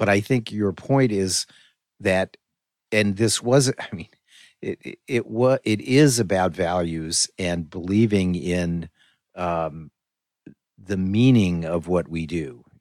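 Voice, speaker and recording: A very deep, low male voice with an American accent, at a very slow pace with long, frequent pauses, in a very clean, dry, close recording with a silent background and no echo. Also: ordinary pitch variation. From US Northeast, western Connecticut. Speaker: podcast host. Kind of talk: interview.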